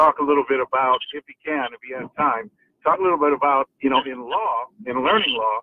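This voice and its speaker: A man with a fairly high pitch talks at a fairly quick pace, with an American accent. His loudness swings widely while his pitch varies in an ordinary way. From US West, Los Angeles. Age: 60s. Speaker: caller, self-defense instructor. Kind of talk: call-in question. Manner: halting, many fillers.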